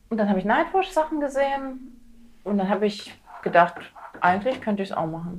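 A woman speaks at a fairly quick pace in a calm tone, her medium pitch carried by lively intonation. Long, frequent pauses break up her speech, and background noise is noticeable. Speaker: stand-up comedian. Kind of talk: casual chat.

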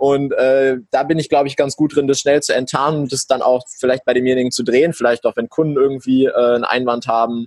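In a dry, close recording with no echo, a man at a medium pitch talks at a very fast pace with hardly any pauses and a monotone, flat intonation. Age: young. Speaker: entrepreneur. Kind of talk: interview.

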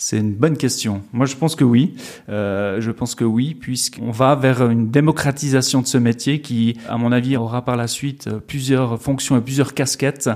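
The intonation stays fairly flat. This man's pitch is in the middle range. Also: moderate pace. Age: 40s. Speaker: festival finance director. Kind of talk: interview. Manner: hesitant, many fillers and repetitions.

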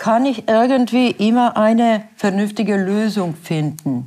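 Speaking fairly slowly with a Bosnian accent, the voice shows ordinary pitch variation. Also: woman. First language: Bosnian (speaking German). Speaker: works council chair. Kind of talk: interview. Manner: halting.

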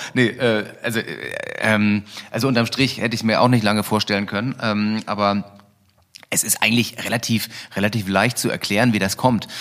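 At a moderate pace but with long, frequent pauses, a man speaks at a fairly low pitch in a monotone, flat intonation. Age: 40s. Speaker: e-scooter company founder. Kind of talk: interview. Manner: hesitant, many fillers.

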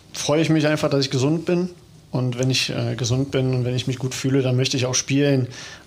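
With a plain, everyday voice, a man speaks at medium pitch and a fairly quick pace, his intonation fairly even and his loudness very even. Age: 30s. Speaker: footballer. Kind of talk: casual chat.

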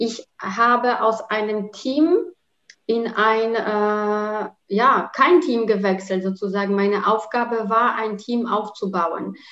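Speaking at a very slow pace, a woman with a Polish accent has a fairly high pitch. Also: ordinary pitch variation. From Poland. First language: Polish (speaking German). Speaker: working mother and corporate employee. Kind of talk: interview.

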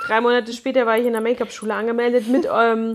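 Over noticeable background noise, a woman with a fairly high voice talks at a very fast pace. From Munich (Neuperlach). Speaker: hairdresser and make-up artist, podcast co-host. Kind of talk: casual chat.

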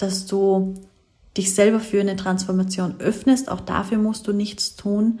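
Her medium-pitched voice is somewhat breathy and comes at a fairly slow pace. The woman is heard in a very clean recording with a silent background. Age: 20s. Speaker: business coach and podcast host. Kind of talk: solo podcast monologue.

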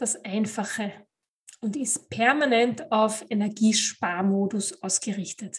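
A woman talks at a very slow pace, her voice somewhat breathy. Her intonation stays fairly even against a quiet background. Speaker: podcast host, life coach. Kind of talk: motivational monologue.

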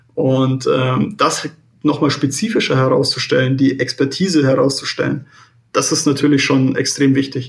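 A man speaks at a moderate pace with a fairly high, somewhat breathy voice, fairly even intonation and very even loudness. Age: 20s. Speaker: real estate credit analyst. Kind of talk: interview. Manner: halting, many fillers.

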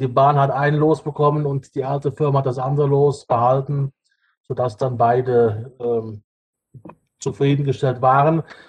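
Fairly high-pitched, somewhat breathy male voice, monotone and flat, at a moderate pace. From Rhineland-Palatinate, Ahr valley. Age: 40s. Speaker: bus driver and state parliament candidate. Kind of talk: podcast interview.

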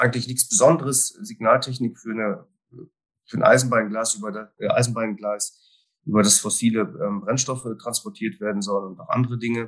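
At a fairly quick pace, a man with a normal speaking voice and medium pitch talks with ordinary pitch variation and big swings in loudness. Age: 50s. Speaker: risk management consultant. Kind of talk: interview conversation.

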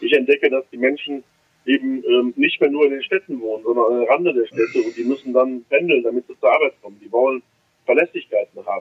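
His loudness rises and drops sharply. The man talks very fast. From Germany, Düsseldorf (Rhineland). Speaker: member of parliament, trained electrician. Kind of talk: interview. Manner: hesitant, many fillers.

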